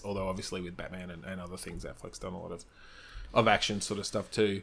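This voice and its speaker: A man with an Australian accent talks at a fairly quick pace in a fairly low pitch. His intonation is monotone and flat, on a very clean recording with a silent background. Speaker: improv performer. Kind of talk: casual chat.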